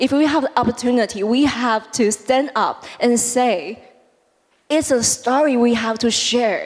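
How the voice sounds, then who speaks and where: At a fairly slow pace, the speaker uses ordinary pitch variation. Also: woman, high pitch for a woman. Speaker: startup founder, panelist. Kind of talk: panel discussion. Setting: stage with audience.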